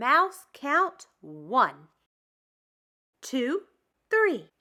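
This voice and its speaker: In a put-on character voice, a woman pitches her speech high and swings it very widely. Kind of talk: bedtime story. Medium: read story.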